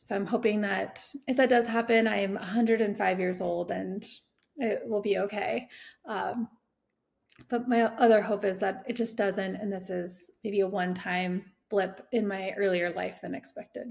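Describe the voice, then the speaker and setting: A woman with a General American accent speaks at medium pitch and a moderate pace, her fairly even intonation marked by vocal fry. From Colorado. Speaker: cancer patient. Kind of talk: testimony. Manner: halting.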